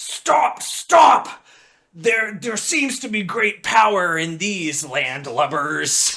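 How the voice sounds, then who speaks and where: A gruff, put-on character voice sits at a middle pitch. It moves at a very slow pace. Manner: borderline offensive, blustering.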